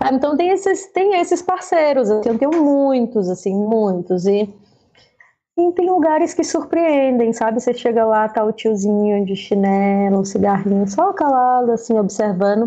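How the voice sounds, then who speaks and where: A woman with a fairly high yet dark, mellow voice speaks at a moderate pace with very even loudness and very wide pitch swings. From Brazil, Fortaleza, Ceará. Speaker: stage lighting designer. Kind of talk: interview.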